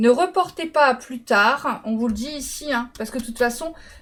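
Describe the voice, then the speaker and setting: Her pitch high, a woman speaks at a moderate pace with ordinary pitch variation. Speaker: tarot card reader. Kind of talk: tarot reading.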